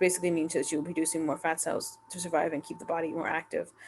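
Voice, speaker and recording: A woman's fairly low voice at a very fast pace, with noticeable background noise. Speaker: YouTuber reacting to Reddit posts. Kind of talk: casual commentary monologue. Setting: home recording late at night. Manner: halting, stuttering.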